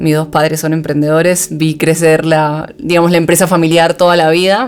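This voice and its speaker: A woman's fairly low-pitched voice at a fairly quick pace, with music in the background. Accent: Argentine. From Argentina, Buenos Aires. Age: 30s. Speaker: startup founder and CEO. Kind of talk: podcast interview.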